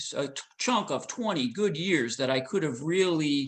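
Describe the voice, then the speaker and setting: This is an ordinary speaking voice with lively intonation. It moves at a fairly slow pace. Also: man. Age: 50s. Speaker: ultra runner. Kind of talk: interview answer.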